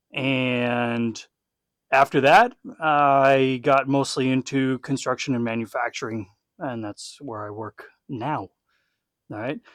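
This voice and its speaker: A man with an American accent speaks at a medium pitch and a very slow pace, with long, frequent pauses, fairly even intonation and big swings in loudness, captured in a very clean, dry, close recording with a silent background and no echo. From Texas. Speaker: former legionnaire, podcast host. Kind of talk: casual chat.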